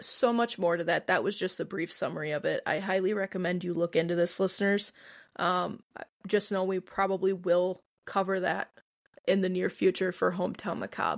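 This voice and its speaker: A woman speaks with a Midwestern American accent at a fairly quick pace and medium pitch. Her intonation is fairly even, and the recording is very clean with a silent background. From US Midwest. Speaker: podcast co-host. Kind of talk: casual chat.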